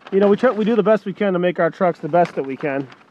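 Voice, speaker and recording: A man with a high pitch speaks with ordinary pitch variation, and the sound is dry with no echo. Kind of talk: sales walkaround commentary. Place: car. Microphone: phone near.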